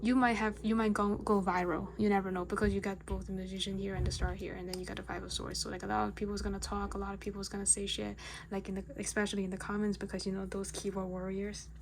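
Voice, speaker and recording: The speech runs at a very fast pace with hardly any pauses. Room echo is audible. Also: woman. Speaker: tarot reader. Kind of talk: tarot reading video. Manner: casual, filler-heavy.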